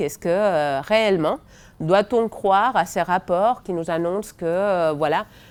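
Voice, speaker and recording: Her intonation is lively. The woman speaks at a moderate pace. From Spain. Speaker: education researcher. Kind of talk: seminar talk. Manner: hesitant, many fillers.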